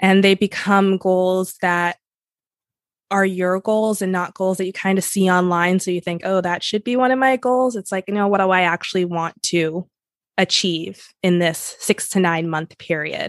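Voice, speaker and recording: In a dry, close recording with no echo and a quiet background, a woman with a plain, everyday voice talks at a medium pitch and moderate pace with fairly even intonation. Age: 30s. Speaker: success coach and writer. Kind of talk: casual interview chat.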